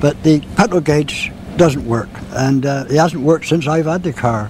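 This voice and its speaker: A man at a moderate pace, fairly high in pitch with ordinary pitch variation, over noticeable background noise. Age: 70s. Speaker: classic car owner. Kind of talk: interview.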